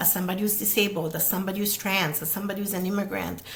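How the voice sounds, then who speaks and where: A woman speaks with an Italian accent in a medium pitch and monotone, flat intonation. Audible room echo and noticeable background noise surround her. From Italy. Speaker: podcast host, therapist. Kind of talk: solo video talk, social commentary. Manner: fast.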